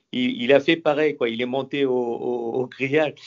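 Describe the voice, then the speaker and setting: A man talks at a medium pitch and a moderate pace, varying his pitch in an ordinary way. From southern France. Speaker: former professional footballer. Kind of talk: radio interview. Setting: radio studio. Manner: halting, many repetitions.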